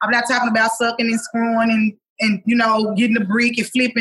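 A woman with a fairly high pitch speaks loudly at a very fast pace. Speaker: singer. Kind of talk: casual chat.

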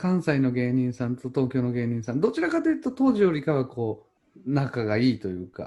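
A man with a slight Chugoku accent speaks at a fairly quick pace in a medium pitch, his tone dark and mellow, with ordinary pitch variation. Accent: slight Chugoku dialect intonation. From Chugoku region, Japan. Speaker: podcast host. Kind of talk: casual chat. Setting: remote recording.

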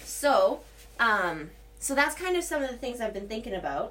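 Over audible room echo, a woman talks at a moderate pace with a fairly high pitch and very wide pitch swings. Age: 30s. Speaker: solo podcaster, yoga teacher. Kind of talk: casual monologue. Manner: rambling with many fillers.

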